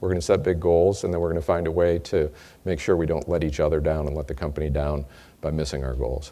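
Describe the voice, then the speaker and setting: This man has an American accent and a dark, mellow tone with vocal fry. He talks very fast, with ordinary pitch variation. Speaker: company executive. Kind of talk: sales kickoff speech.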